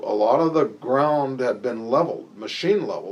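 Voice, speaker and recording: A man with an American accent talks at a moderate pace in a normal speaking voice, his pitch medium. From Nebraska, US Midwest. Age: 60s. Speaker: interviewee recalling the past. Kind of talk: oral history interview. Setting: office.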